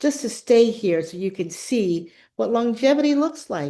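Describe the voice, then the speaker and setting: A woman with an American accent, dark and mellow in tone, with very wide pitch swings at a moderate pace over a quiet background. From US South, Louisiana (Baton Rouge). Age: 70s. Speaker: arts leader, guest speaker. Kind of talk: talk to fellows, storytelling.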